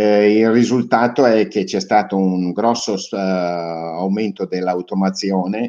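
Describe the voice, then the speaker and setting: Over a quiet background, a man talks with a fairly low pitch, a dark, mellow tone and fairly even intonation. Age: old. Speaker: robotics company owner; interviewee. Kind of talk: interview. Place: home room.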